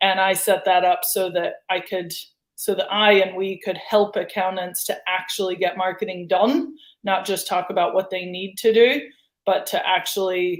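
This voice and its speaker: Here is a woman with an American accent and an unremarkable speaking voice. She talks at a moderate pace with fairly even intonation. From United States. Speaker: marketing agency founder. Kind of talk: interview.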